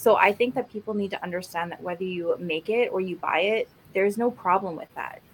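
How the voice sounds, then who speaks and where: Speaking in a Canadian accent and an ordinary speaking voice, a woman talks at a fairly quick pace and medium pitch, with ordinary pitch variation and big swings in loudness. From Alberta, Canada. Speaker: podcast co-host, cosplayer. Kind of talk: casual chat.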